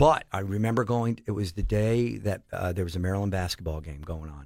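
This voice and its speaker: A man with an American accent speaks at a fairly quick pace in a somewhat breathy voice, on a very clean recording with a silent background. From Pennsylvania, Allentown area. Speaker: sports foundation director. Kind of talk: casual interview. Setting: studio.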